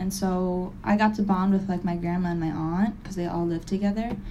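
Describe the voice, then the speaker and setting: In an American accent, a woman speaks at a fairly quick pace and medium pitch with a somewhat breathy, dark, mellow tone, and audible room echo. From Springfield, Massachusetts. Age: 20s. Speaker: recovery meeting speaker. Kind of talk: testimony.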